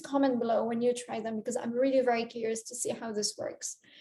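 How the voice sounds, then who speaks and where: A woman speaks with a non-native accent. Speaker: career coach. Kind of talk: talking-head advice video. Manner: hesitant with fillers.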